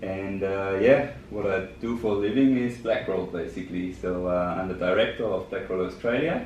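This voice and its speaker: Audible room echo surrounds a man speaking at a fairly low pitch and a moderate pace, with ordinary pitch variation and hardly any pauses. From Germany. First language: German. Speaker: business director. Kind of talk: podcast interview. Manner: hesitant, many fillers.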